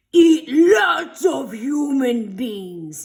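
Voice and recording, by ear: A high-pitched, growling put-on character voice with very wide pitch swings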